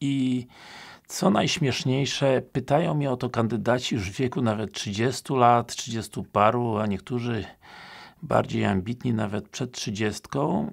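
A man's very slow speech with ordinary pitch variation, quiet background. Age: 50s. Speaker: police recruitment trainer. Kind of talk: casual talk to camera. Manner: hesitant with filler sounds. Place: home room.

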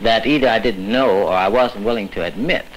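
A man's lively, up-and-down intonation over light background noise. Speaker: civil rights organization director; speaker. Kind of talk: interview. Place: hall.

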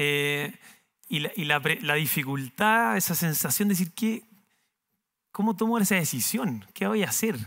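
A man with a high, bright, sharp voice makes very wide pitch swings at very even loudness. He goes at a fairly slow pace with long, frequent pauses over a quiet background. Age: 30s. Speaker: entrepreneur, company founder. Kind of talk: talk to university students. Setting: university auditorium with audience. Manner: halting, many repetitions and fillers. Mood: smiling, relaxed, hesitant. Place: stage. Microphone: headset.

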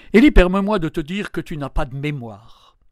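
In a very clean recording with a silent background, a man speaks in an animated tone with ordinary pitch variation. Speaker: biblical storyteller. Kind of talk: biblical narration, dramatic monologue addressing the prophet Elijah as the angel. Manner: animated, urgent, coaxing and intimate, with tender irony; slow, expressive storytelling with vivid descriptions.

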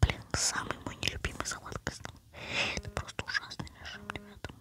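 Over noticeable background noise, a whispered voice goes along at a fairly quick pace. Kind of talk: casual gaming commentary. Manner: whispering.

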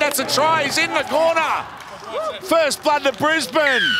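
Over noticeable background noise, a man talks in a raised, projected voice. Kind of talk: sports commentary. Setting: stadium broadcast commentary. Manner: animated, breathless delivery.

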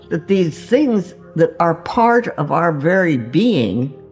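Faint music plays in the background as a woman speaks at a very slow pace. Her pitch swings very widely. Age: 80s+. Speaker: holistic physician. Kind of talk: interview answer.

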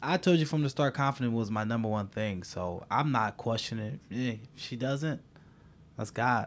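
Here is a man with an American accent. His pitch is medium, with ordinary variation. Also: moderate pace. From US Midwest, Dearborn Heights, Michigan; Michigan. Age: 20s. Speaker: dating show contestant; dating podcast contestant. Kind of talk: casual chat. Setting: studio. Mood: amused, relaxed. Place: home room. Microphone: studio mic.

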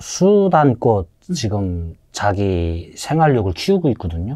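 Speaking very slowly, a man with a fairly low pitch and a dark, mellow tone moves through very wide pitch swings. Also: quiet background. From North Korea, Haeju, Hwanghae; Hwanghae, North Korea. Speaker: North Korean defector, former fisherman; interview guest. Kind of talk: casual interview. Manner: halting, many fillers. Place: studio. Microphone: lapel.

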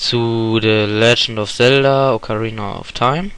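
This man speaks at a very slow pace. His pitch is medium and his intonation fairly even. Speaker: gaming YouTuber. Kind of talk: announcement to viewers. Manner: halting, many fillers.

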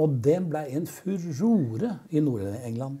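A man's fairly high voice has a dark, mellow tone and a somewhat breathy quality over a quiet background. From Oslo east, Norway; Norway. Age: 70s. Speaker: rock musician. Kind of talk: casual chat. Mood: relaxed, amused reminiscing. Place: studio. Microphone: lapel.

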